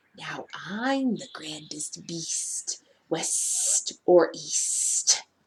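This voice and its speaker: In a put-on character voice, the speaker growls and whispers at a very slow pace. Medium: read story. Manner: whispered snarl.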